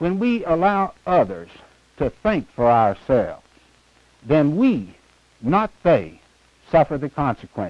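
A man's voice, dry with no echo, with very wide pitch swings. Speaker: candidate. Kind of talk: campaign speech. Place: studio. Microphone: lapel.

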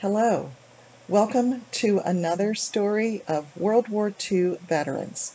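A woman at a very slow pace with ordinary pitch variation. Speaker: author. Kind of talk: reading from a book. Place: home room. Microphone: webcam.

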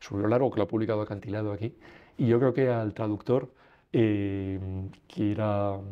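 Against a quiet background, a man with a fairly low pitch speaks at a moderate pace with fairly even intonation. His loudness swings widely, and he leaves long, frequent pauses. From Spain. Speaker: lawyer; interviewee. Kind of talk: interview. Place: studio.

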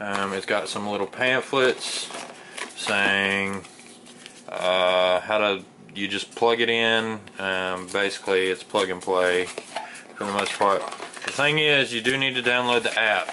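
A man at a fairly slow pace, with ordinary pitch variation, long and frequent pauses, and noticeable background noise. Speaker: product reviewer. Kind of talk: casual unboxing tutorial. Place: home room. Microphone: phone near.

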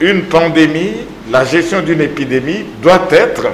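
A man at a fairly high pitch and a very slow pace, with audible room echo and light background noise. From DR Congo. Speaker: medical professor and lung specialist; medical professor. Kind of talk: TV interview. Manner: formal. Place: studio.

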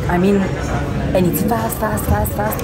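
This clip features a woman talking. Behind her, clear music can be heard. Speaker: travel vlogger. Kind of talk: casual vlog chat. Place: bar. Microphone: phone near.

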